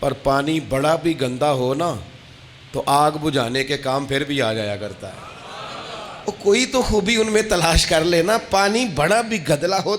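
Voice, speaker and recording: Noticeable background noise sits behind a man's fairly high voice. His pitch swings very widely. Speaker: Islamic preacher giving a sermon. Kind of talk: religious sermon (bayan). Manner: emotional, passionate.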